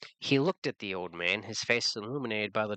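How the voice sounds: A natural reading voice over a quiet background.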